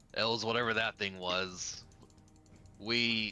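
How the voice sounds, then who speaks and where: A man puts on a raspy character voice at a medium pitch. He speaks at a fairly slow pace. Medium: actual play. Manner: terse, serious.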